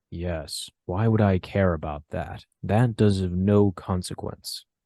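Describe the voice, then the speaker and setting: Against a quiet background, a man uses a put-on character voice with a very deep, low pitch at a fairly slow pace. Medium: actual play. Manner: calm, formal.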